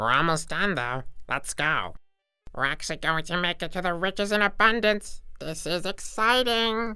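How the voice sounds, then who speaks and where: At a middle pitch, the voice is a put-on character voice. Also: moderate pace. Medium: machinima. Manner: brash, wisecracking.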